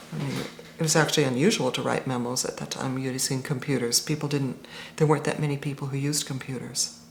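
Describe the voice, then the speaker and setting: Over noticeable background noise, a woman with a very deep, low pitch talks at a very fast pace with ordinary pitch variation. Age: 50s. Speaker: interviewee in documentary about text games. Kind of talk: documentary interview.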